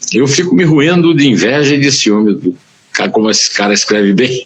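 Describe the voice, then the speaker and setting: A man speaks here. His pitch swings very widely. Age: 70s. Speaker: journalist and writer. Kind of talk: interview. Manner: halting.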